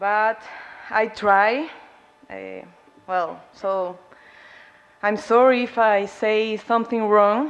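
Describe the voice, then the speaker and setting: A woman with a Spanish accent speaks very slowly in a fairly high voice, her intonation fairly even. She leaves long, frequent pauses, and her loudness swings widely. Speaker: student activist, award recipient. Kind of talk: award acceptance speech. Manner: halting.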